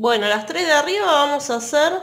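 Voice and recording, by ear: A woman talks with lively intonation in a fairly bright tone.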